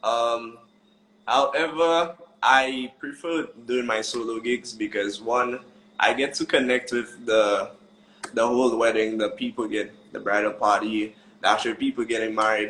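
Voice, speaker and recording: A man with a Saint Lucian accent speaks at a fairly slow pace, his medium pitch kept in fairly even intonation. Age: young. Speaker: wedding musician. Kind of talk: casual interview chat. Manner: joyful.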